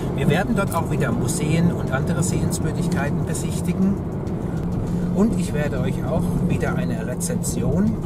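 A man at a moderate pace with long, frequent pauses and music in the background. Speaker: travel vlogger. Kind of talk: casual vlog chat. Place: car. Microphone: phone near.

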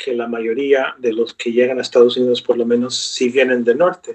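A man speaks at a moderate pace and medium pitch against a quiet background. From US, New York (Brooklyn); New York. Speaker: professor of Spanish literature. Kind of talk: interview. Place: home room. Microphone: webcam.

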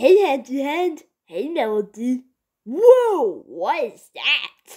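In a cartoonish character voice, a woman speaks very slowly and high-pitched, her pitch swinging very widely. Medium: puppet show. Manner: caring, fussing. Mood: surprised greeting.

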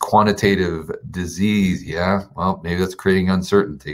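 The voice belongs to a man. It is pitched very deep and low. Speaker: finance YouTuber; livestream host. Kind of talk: live stream chat; casual livestream chat, reading viewer names. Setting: rented office. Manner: kept quiet, voice held down; casual, filler-heavy. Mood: relaxed, friendly. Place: home room. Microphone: webcam.

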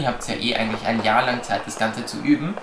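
Noticeable background noise surrounds a man who talks very fast. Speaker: dog trainer. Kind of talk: tutorial. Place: home room.

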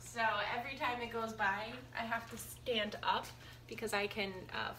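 The pace of this woman's speech is moderate. There is light background noise behind her. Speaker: vlogger. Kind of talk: casual vlog chat. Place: kitchen. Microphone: phone near.

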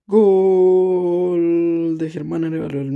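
A man with a dark, mellow tone speaks at a high pitch. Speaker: live match commentator and gaming video creator. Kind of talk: live sports commentary over a Top Eleven match.

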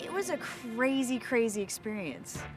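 A woman's voice over clear background music, the sound dry with no echo. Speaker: TV show host. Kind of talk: interview answer. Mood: animated, amused recollection. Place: open country.

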